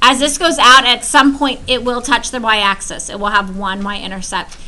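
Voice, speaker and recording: Noticeable background noise and audible room echo around a woman's high voice, lively in intonation and fairly quick in pace. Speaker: high school math teacher. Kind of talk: classroom lecture.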